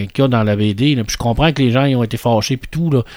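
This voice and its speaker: A man talks at a fairly quick pace. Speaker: podcast co-host. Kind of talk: casual chat. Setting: studio.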